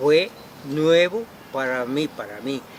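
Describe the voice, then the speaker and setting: A man talks while noticeable background noise is audible. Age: 70s. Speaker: former political candidate. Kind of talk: interview. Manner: halting, stammering.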